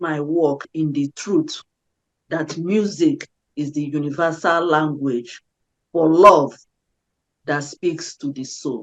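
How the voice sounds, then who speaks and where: A woman with an African accent speaks at a very slow pace, her pitch very deep and low, her intonation fairly even. The sound is dry and close, with no echo. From Nigeria. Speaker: peace activist and singer. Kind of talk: interview. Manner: halting with self-corrections.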